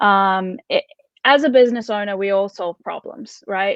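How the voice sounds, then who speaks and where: A woman speaks with a New Zealand accent at a medium pitch. Her pace is moderate and her pitch varies in an ordinary way. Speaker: content marketing expert. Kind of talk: interview. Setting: live video talk show.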